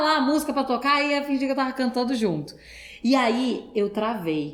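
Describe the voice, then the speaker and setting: High-pitched woman's voice at a moderate pace, lively in intonation, with audible room echo and noticeable background noise. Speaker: actress. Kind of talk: podcast interview.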